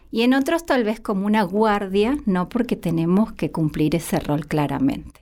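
A woman speaks with a dark, mellow tone and lively intonation at a moderate pace. The recording is very clean, with a silent background. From Argentina, Santiago del Estero. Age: 30s. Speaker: psychologist. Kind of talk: interview testimony.

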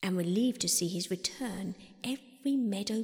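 Plain reading aloud, pitch shifting in an ordinary way.

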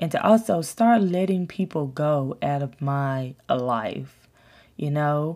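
Over a very clean recording with a silent background, a woman speaks very slowly with a very deep, low pitch. Her intonation is lively and her tone dark and mellow. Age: 30s. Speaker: lifestyle podcast host. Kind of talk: casual monologue. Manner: hesitant, many fillers.

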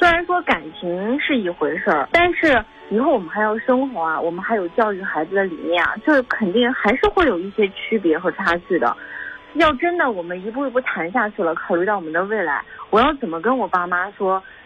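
Over noticeable background noise, a woman speaks at a fairly quick pace. Her medium pitch swings very widely. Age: 20s. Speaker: caller. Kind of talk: testimony.

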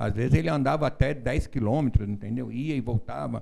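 A man's medium-pitched voice with vocal fry, a dark, mellow tone and lively intonation. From São Paulo, Brazil. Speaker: relative of a missing person. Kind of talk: interview.

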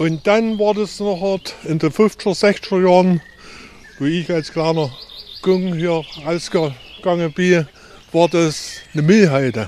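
Over noticeable background noise, a man speaks very slowly in a Saxon accent. His pitch is high, and he leaves long, frequent pauses. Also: ordinary pitch variation. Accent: Erzgebirge Saxon dialect. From Erzgebirge, Saxony. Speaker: hiking guide. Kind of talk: guided tour talk.

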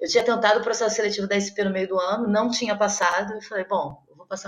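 A woman at medium pitch, fairly quick in pace, over noticeable background noise. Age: 30s. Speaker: actress and playwright. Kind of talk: interview. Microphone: audio noise from technical problems.

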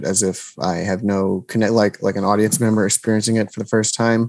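Speaking with an American accent at a fairly quick pace, a man with a fairly low pitch keeps his intonation fairly even in a very clean recording with a silent background. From New Jersey. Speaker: comedy video maker and actor. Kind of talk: casual interview chat.

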